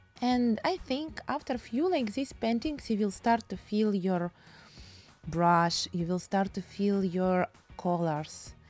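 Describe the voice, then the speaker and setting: Over music in the background, a woman with a Russian accent speaks very slowly at a medium pitch, her intonation lively. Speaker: painting teacher. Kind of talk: tutorial. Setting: home studio. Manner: non-native, halting English.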